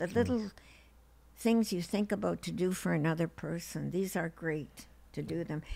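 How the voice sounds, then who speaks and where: Speaking at a moderate pace, a woman with a fairly low pitch and a dark, mellow tone shows ordinary pitch variation. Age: 80s+. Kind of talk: interview answer.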